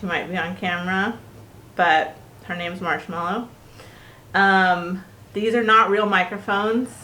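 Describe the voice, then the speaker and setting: With long, frequent pauses and fairly even intonation, a woman of medium pitch is heard amid audible room echo. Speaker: podcast co-host, spiritual mentor. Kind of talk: casual chat. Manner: loud. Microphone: cheap non-professional microphone.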